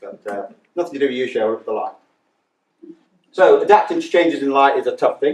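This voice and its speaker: This is a man speaking. His pace is very fast. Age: 60s. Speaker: charity chair, deafblind speaker. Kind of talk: conference talk.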